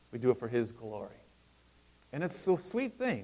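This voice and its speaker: A man is speaking. His pitch is medium. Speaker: pastor. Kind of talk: sermon.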